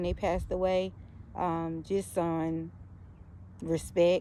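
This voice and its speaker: A woman with a slight Southern US accent. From US South. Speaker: YouTuber. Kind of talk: casual vlog commentary. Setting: outdoors in backyard. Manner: halting, many fillers.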